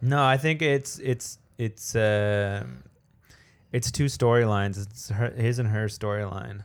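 A man with a plain, everyday voice and a Canadian accent, medium in pitch with ordinary pitch variation, at a fairly slow pace on a very clean recording with a silent background. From Canada. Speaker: podcast co-host. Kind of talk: casual chat.

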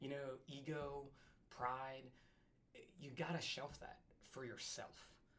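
In a room with audible echo, a man with an American accent speaks fairly slowly at a fairly high pitch, his tone bright and sharp, his intonation monotone and flat, with long, frequent pauses. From New Jersey. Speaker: firefighter and paramedic. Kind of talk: casual chat.

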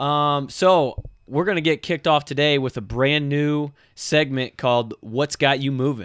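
A man's fairly high-pitched, ordinary speaking voice, fairly slow in pace with ordinary pitch variation, on a very clean recording with a silent background. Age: 20s. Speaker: fitness podcast host and trainer. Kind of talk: casual chat.

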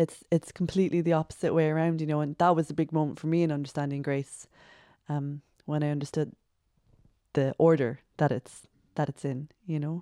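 In a Cork accent, a woman with a very deep, low pitch and dark, mellow tone speaks in a monotone, flat intonation, the sound dry and close with no echo on a very clean recording over a silent background. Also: fairly quick pace. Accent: Cork Irish. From Ireland, Cork. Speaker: secondary school teacher, stay-at-home mom. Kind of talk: casual chat.

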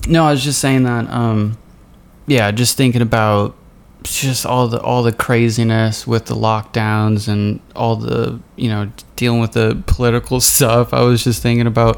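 At a moderate pace, a man of medium pitch talks in a flat monotone. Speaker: podcast host. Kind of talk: casual chat. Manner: casual, chatty.

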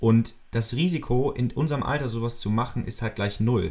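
Fairly quick pace with a somewhat breathy sound. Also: man. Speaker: podcast host, student entrepreneur. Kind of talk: casual chat.

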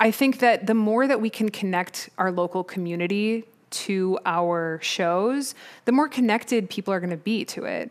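An American woman speaks at a medium pitch with an American accent. It's an ordinary speaking voice, with ordinary pitch variation and a moderate pace. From US Midwest, Chicago suburbs. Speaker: orchestral percussionist. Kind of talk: interview. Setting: video call.

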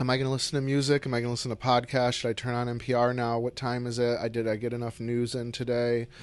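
The speech is very fast with hardly any pauses, in a monotone, flat intonation. Noticeable background noise runs underneath. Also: man, medium pitch for a man. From upstate New York (Syracuse). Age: 40s. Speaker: painter. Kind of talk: casual chat. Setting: artist's studio.

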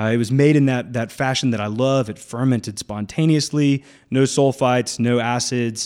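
At a moderate pace, a man speaks at medium pitch in a very clean recording with a silent background. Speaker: winemaker and winery owner. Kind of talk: casual radio interview. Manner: animated.

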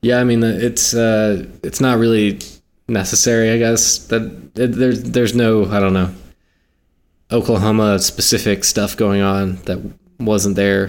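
An ordinary speaking voice: a man with an American accent, fairly low in pitch, with fairly even intonation and very even loudness. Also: moderate pace. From South Carolina. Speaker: podcast host, film reviewer. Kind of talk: casual chat.

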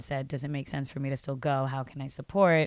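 A woman's very deep, low-pitched voice on a very clean recording with a silent background. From Brooklyn, New York (Puerto Rican family). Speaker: chef and activist. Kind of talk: interview.

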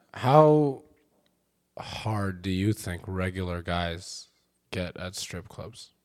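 At a very slow pace with long, frequent pauses, the voice shows big swings in loudness on a very clean recording with a silent background. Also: man, very deep, low pitch for a man. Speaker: comedian. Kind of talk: casual chat. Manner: monotone; quiet.

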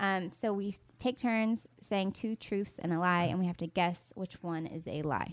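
The speaker has a Southern US accent, a fairly slow pace and ordinary pitch variation. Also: woman, medium pitch for a woman. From US South, North Carolina. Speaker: podcast co-host and YouTuber. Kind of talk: casual chat.

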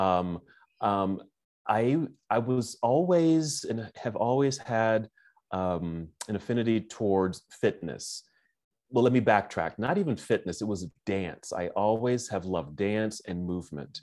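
On a very clean recording with a silent background, a man speaks with a fairly low pitch, lively intonation and a fairly slow pace. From California, Oakland. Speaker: yoga therapist and former psychologist. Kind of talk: interview conversation. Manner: halting.

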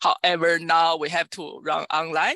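A woman with a Chinese accent has a fairly low pitch and a bright, sharp tone. Her dry, close sound has no echo, and the background is quiet. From China. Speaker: computer science professor. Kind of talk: interview. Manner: halting.

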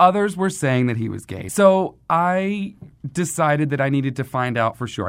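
A man in an ordinary speaking voice with an American accent, lively intonation and a moderate pace, on a very clean recording with a silent background. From US South, southern Mississippi near Mobile. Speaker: guest storyteller. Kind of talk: casual interview storytelling.

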